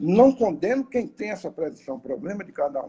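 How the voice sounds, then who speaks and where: Fairly slow male speech in a dark, mellow tone, with very wide pitch swings. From Bahia, Brazil. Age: 60s. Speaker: spiritist lecturer. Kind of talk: lecture. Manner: halting, with fillers.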